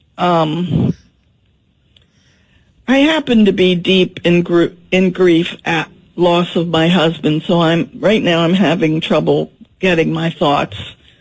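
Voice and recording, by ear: Slow pace with ordinary pitch variation. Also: woman, fairly low pitch for a woman.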